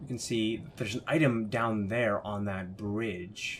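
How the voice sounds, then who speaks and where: A man talks quietly at a fairly low pitch. His pitch variation is ordinary. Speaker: gaming let's play commentator. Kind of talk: gameplay commentary.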